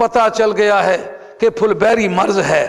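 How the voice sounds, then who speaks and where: A man's voice comes with noticeable background noise behind it. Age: 70s. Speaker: Sufi scholar. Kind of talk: religious lecture.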